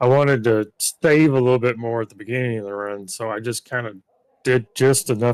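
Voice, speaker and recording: An unremarkable speaking voice with ordinary pitch variation. The sound is dry and close, with no echo. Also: man. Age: 40s. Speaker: sim racer, race winner. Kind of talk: post-race interview.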